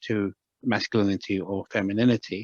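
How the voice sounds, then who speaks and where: A man with a British accent, in a quiet background, the sound dry and close with no echo. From Britain. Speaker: medical anthropologist and shamanic practitioner. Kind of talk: interview. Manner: halting, many repetitions.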